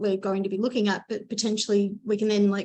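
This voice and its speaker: A woman talks at a very fast pace with an Australian accent. Her pitch is fairly high and her intonation fairly even. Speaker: marine scientist, postdoc. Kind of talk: lightning talk presentation.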